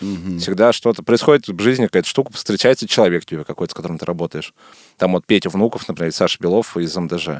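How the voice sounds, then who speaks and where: This man has a very deep, low pitch and ordinary pitch variation. He talks at a very fast pace, with a dry, close sound and no echo. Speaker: film director. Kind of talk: casual interview chat. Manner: casual, colloquial.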